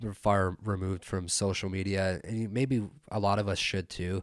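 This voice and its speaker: With a Canadian accent, a man speaks in a monotone, flat intonation at a fairly low pitch on a very clean recording with a silent background. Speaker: podcast host. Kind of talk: solo political commentary monologue. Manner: halting, many fillers and restarts.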